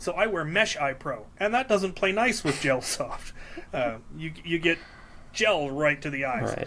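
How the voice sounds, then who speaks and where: A man with a Midwestern accent, a bright, sharp tone, high pitch, very wide pitch swings and a fairly slow pace. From Minnesota. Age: 40s. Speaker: Nerf hobbyist. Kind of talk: casual chat. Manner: hesitant with fillers.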